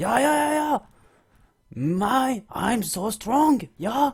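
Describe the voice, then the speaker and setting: In a put-on character voice with a fairly high pitch, the speaker moves at a very slow pace. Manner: exaggerated, macho.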